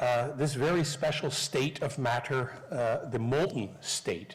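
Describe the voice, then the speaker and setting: Somewhat breathy, a man speaks at a fairly slow pace with audible room echo. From Canada, Newfoundland. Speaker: professor. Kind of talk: lecture. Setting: stage with audience.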